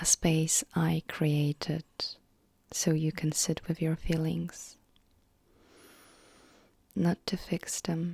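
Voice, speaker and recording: Very slow and soft-spoken, the voice has a gentle tone and long, frequent pauses, captured in a very clean recording with a silent background. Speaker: emotional wellness content creator. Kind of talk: soft-spoken personal story. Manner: soft-spoken, gentle.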